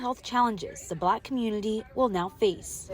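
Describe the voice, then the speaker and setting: Over noticeable background noise, a woman speaks at a moderate pace. Her voice is fairly high with lively intonation. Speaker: bilingual TV reporter. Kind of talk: English TV news reporter delivery.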